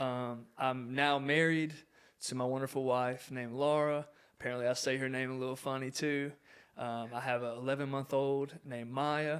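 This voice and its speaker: In a very clean recording with a silent background, a man with an American accent speaks at a moderate pace in a medium pitch with monotone, flat intonation. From US South, southwest Virginia (Grayson County). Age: 20s. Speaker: former college athlete, ministry worker and realtor. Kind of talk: casual podcast interview.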